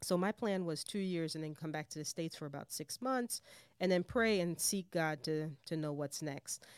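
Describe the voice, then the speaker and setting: A woman with a normal speaking voice, fairly low in pitch, talks at a moderate pace with ordinary pitch variation in a very clean, dry, close recording with a silent background and no echo. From Jamaica, raised in New York City. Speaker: missions director, former missionary. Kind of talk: interview conversation.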